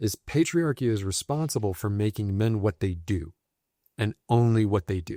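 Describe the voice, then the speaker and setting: The recording is very clean, with a silent background and a dry, close sound with no echo. A man speaks at a moderate pace with fairly low pitch and a dark, mellow tone. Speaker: men's violence prevention practitioner. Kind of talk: podcast conversation.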